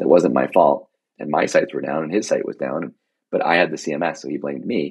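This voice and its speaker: A man's very deep, low voice with vocal fry, at a fairly quick pace. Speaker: tech executive. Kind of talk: interview. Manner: fast.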